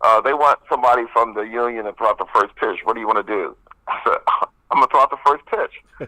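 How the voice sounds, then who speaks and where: This man's speech races along very fast. Everything sounds dry and close-miked, free of any echo. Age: 60s. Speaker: union president. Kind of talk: casual chat. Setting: live radio show. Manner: animated.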